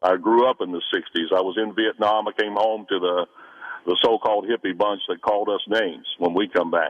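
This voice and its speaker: An ordinary speaking voice at a fairly quick pace. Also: man, fairly low pitch for a man. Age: 60s. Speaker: caller, Vietnam veteran. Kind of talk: call-in opinion. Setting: phone call.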